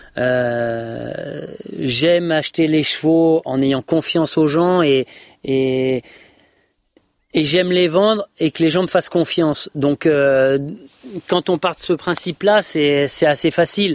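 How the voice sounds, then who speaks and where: A man speaks at a very slow pace with long, frequent pauses. His pitch is fairly high and his loudness very even. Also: ordinary pitch variation, dry, close sound with no echo. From France, Isère. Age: 40s. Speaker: horse dealer and show jumping rider. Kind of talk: podcast interview. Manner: hesitant, many fillers and repetitions.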